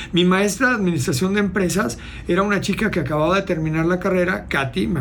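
A man talks at a very fast pace in a high pitch. Noticeable background noise and audible room echo fill the recording. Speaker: motivational speaker and entrepreneur. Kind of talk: casual interview.

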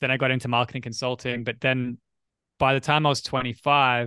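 Fairly quick and monotone with flat intonation, a man with an Australian accent speaks in a bright, sharp tone, the sound dry and close with no echo in a very clean recording with a silent background. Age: 30s. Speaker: writer and entrepreneur. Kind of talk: casual chat.

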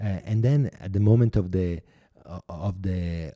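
A man with an Italian accent speaks at a very deep, low pitch in a dark, mellow tone, with ordinary pitch variation. The sound is dry and close with no echo, and the recording is very clean with a silent background. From Italy. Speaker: artist and filmmaker. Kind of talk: interview. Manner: halting.

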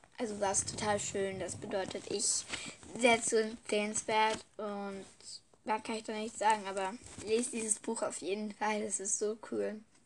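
Monotone, flat intonation runs through a woman's fairly high-pitched voice at a moderate pace. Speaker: podcaster reviewing and reading books. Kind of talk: casual book review chat. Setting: recording in bed. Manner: halting, many fillers.

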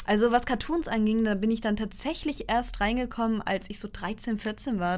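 A woman's fairly high voice at a moderate pace with fairly even intonation. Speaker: podcast co-host. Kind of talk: casual chat. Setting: recording in the same room, single shared mic.

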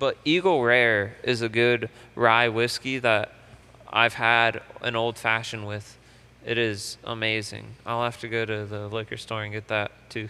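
Using a plain, everyday voice, a man speaks fairly slowly at medium pitch with fairly even intonation. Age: 20s. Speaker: podcast co-host. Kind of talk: casual chat.

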